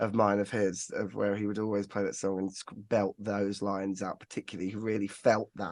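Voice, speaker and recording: In a quiet background, a man with an English Midlands accent talks fairly quickly in a fairly low, monotone voice with flat intonation. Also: dry, close sound with no echo. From England, Northampton. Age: 30s. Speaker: singer-songwriter. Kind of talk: casual chat.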